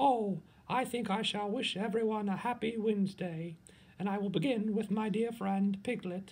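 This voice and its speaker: A man puts on a character voice with a high pitch. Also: moderate pace. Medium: read story. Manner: gentle, slow.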